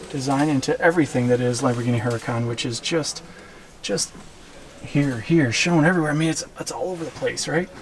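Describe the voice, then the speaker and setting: Quiet and at a fairly quick pace, a man with a fairly high pitch talks over noticeable background noise. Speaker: car reviewer / vlogger. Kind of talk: casual walkaround car review. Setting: car dealership showroom. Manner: quiet, hushed; enthusiastic.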